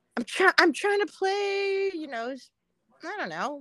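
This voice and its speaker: A woman with an American accent projects a raised voice with a bright, sharp tone and lively intonation. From Southern California, Pomona. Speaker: painter. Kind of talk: casual chat.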